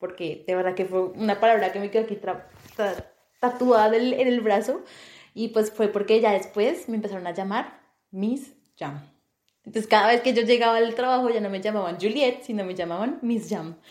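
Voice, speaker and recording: A woman talks at a moderate pace with ordinary pitch variation, her voice fairly high. She leaves long, frequent pauses. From Colombia, Bogotá. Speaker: podcast co-host. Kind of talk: casual chat.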